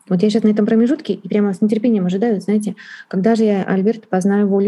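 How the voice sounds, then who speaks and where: Very fast and somewhat breathy, a woman at medium pitch speaks with a dark, mellow tone and fairly even intonation. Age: 40s. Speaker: Chinese interpreter and translation teacher. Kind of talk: interview.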